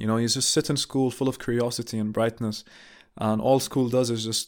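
On a very clean recording with a silent background, a man speaks at a medium pitch with monotone, flat intonation. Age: 20s. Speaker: solo podcaster. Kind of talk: reflective monologue. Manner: casual, with filler words and repetitions.

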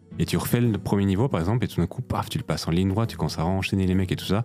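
A man speaks at a very fast pace in a very deep, low voice. There is noticeable background noise. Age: 30s. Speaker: podcast co-host. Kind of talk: casual chat.

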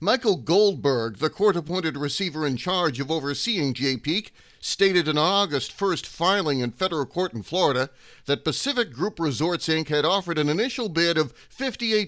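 Recorded very cleanly against a silent background, a man with an unremarkable speaking voice talks at a moderate pace, his fairly high pitch moving with lively intonation. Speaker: news podcast host. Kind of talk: news reading. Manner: formal; steady, brisk, even-toned delivery.

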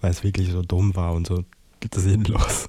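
A man's dark, mellow, somewhat breathy voice moves at a moderate pace with monotone, flat intonation. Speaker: podcaster. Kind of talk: casual monologue.

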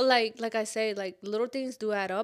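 In a very clean recording with a silent background, a woman speaks at a moderate pace, her fairly high voice keeping fairly even intonation. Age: 20s. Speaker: podcast host. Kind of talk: casual chat.

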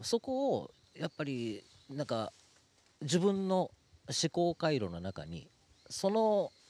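A man with a fairly high voice speaks at a very slow pace with long, frequent pauses, his dark, mellow tone swinging very widely in pitch, recorded dry and close with no echo. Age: 50s. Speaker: podcast MC and vegetarian food activist. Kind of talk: casual conversation.

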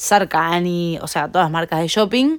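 A woman with a Rioplatense accent, moderate in pace, with ordinary pitch variation. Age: 20s. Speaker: fashion entrepreneur. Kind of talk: interview. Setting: company warehouse.

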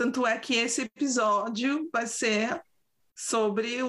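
A woman speaks with a São Paulo accent. Her pitch sits fairly high. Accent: São Paulo Brazilian Portuguese. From Brazil, São Paulo. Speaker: podcast co-host. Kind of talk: casual chat. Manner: animated.

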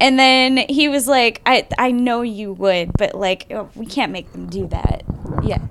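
Speaking at a fairly slow pace, a woman with a high-pitched voice and ordinary pitch variation swings widely in loudness over noticeable background noise. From US, Air Force family, moved around. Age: 20s. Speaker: actress and model. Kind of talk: casual chat.

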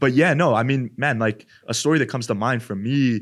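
An unremarkable speaking voice from a man, fairly quick in pace with fairly even intonation, on a very clean recording with a silent background. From Edmonton, Alberta, Canada. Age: 20s. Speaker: podcast co-host. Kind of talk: casual chat. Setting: studio.

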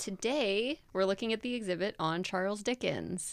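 Using a normal speaking voice, a woman speaks with ordinary pitch variation at a moderate pace. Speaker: podcast host. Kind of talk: casual chat. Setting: studio.

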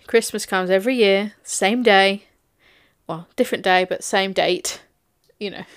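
A woman talks at a moderate pace with medium pitch and fairly even intonation, leaving long, frequent pauses. Her loudness swings widely, and the recording is very clean with a silent background. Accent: English. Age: 20s. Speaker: podcast co-host. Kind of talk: casual chat.

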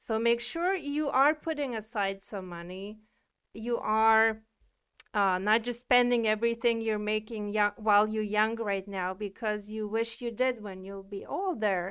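A woman speaks in a plain, everyday voice, fairly high in pitch with ordinary variation. Her pace is fairly slow, and the recording is very clean with a silent background. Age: 30s. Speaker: wellness podcast co-host. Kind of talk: casual chat.

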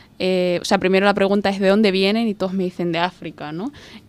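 A woman with a plain, everyday voice speaks at a medium pitch with fairly even intonation. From Somalia, grew up in Spain. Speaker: refugee rights advocate. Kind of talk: interview.

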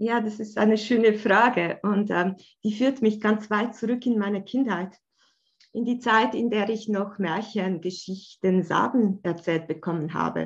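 Her voice is fairly high in pitch and somewhat breathy. This woman keeps a fairly slow pace with fairly even intonation. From Switzerland, Bern. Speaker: art therapist. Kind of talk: casual interview.

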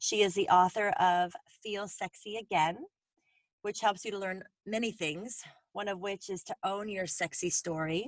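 A woman talks in a normal speaking voice. Her pace is fairly slow and her intonation fairly even. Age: 40s. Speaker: podcast host. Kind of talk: scripted narration; casual interview.

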